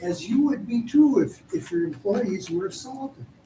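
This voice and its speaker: Noticeable background noise runs behind the clip. A man with an American accent talks at a moderate pace. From Postville area, US Midwest. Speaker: citizen speaker at council meeting. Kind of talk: public comment. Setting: council meeting, hall with audience.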